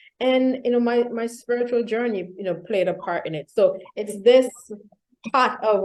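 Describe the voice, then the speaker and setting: The speaker has a Vincentian accent and talks at a moderate pace. The intonation stays fairly even. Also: woman. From Saint Vincent and the Grenadines. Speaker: executive coach and keynote speaker. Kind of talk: interview.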